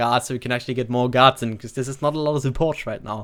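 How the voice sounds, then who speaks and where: A man with a medium pitch speaks with fairly even intonation. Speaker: gaming content creator. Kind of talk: casual commentary. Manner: casual, filler-heavy.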